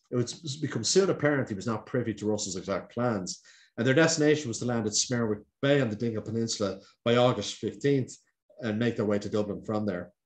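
With an Irish accent, a man talks at a very fast pace with ordinary pitch variation against a quiet background. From Ireland. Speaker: historian. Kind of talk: lecture. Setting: video call. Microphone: webcam.

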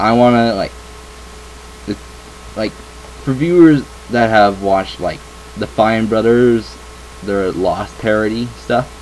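A man's fairly low voice at a fairly slow pace, with ordinary pitch variation, long, frequent pauses, and light background noise. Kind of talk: casual vlog chat. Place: home room. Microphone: webcam.

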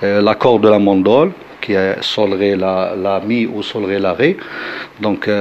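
A man at a very slow pace, fairly low in pitch, with fairly even intonation and noticeable background noise. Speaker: chaabi musician. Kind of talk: interview. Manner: halting, many hesitations.

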